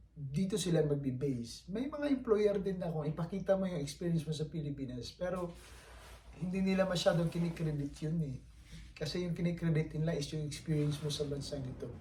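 This man's voice sits fairly high and moves at a fairly quick pace. His pitch varies in an ordinary way, an unremarkable speaking voice. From Philippines. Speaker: vlogger, overseas Filipino worker. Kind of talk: casual vlog monologue.

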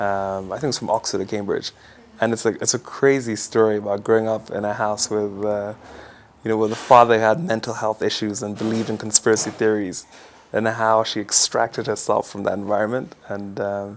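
Fairly low in pitch, a man talks at a fairly quick pace. His intonation is monotone and flat. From Kenya (Nairobi), Ugandan family. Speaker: business executive. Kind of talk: interview answers, casual. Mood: relaxed, friendly. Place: home room. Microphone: lapel.

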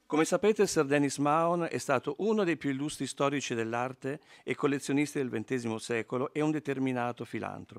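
A man's fairly high, plain, everyday voice, fairly quick with ordinary pitch variation, in a very clean recording with a silent background and a dry, close sound with no echo. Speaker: foundation representative, art historian. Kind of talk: prepared speech. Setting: stage with audience.

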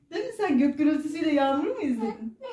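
A woman's voice with audible room echo against a quiet background. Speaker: grandmother vlogger. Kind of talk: casual vlog chat. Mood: warm, cheerful. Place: home room. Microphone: camera far.

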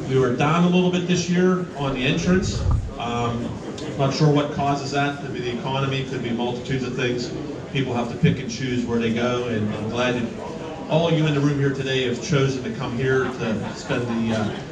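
With noticeable noise behind him, a man talks at medium speed, his pitch varying in an ordinary way. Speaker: awards announcer. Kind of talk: public announcement. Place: hall. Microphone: pa.

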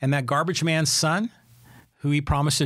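Against a quiet background, a man with an American accent speaks fairly quickly in a fairly high, somewhat breathy voice. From San Francisco Bay Area, California; California. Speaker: podcast host. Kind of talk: solo commentary podcast; podcast commentary. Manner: conversational, with fillers. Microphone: studio mic.

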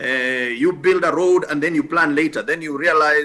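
Bright and sharp in tone, a man speaks at a fairly high pitch with lively intonation. His pace is moderate, and the background is quiet. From Kenya (Nakuru); Kenya. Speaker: senior government housing official; guest. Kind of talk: TV news interview. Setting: TV studio. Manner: hesitant, many fillers. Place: home room.

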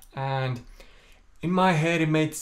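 A man with a fairly high pitch talks in an Estonian accent. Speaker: singer. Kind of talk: casual talk to camera. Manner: calm, low-energy; stammers at times. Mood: open, reflective, slightly self-deprecating. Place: home room. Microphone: phone near.

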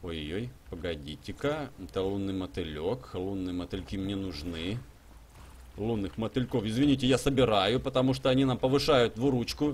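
A man talks at a moderate pace with a fairly low pitch, very wide pitch swings and vocal fry. Light background noise is present. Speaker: gaming streamer. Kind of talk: live stream gameplay commentary. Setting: live stream with chat and donations. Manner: animated, chatty.

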